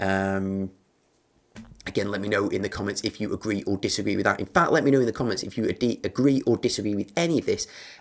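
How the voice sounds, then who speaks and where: A man speaks at a very fast pace with a fairly low pitch. His pitch varies in an ordinary way. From UK. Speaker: gaming YouTuber. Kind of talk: casual solo video commentary. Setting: home recording for video. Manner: hesitant with fillers. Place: home room.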